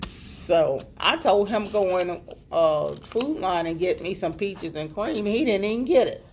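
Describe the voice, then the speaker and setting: A woman with a medium pitch talks at a fairly slow pace. Hers is an ordinary speaking voice, with lively intonation. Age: 60s. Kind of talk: casual talk to camera. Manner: informal, chatty.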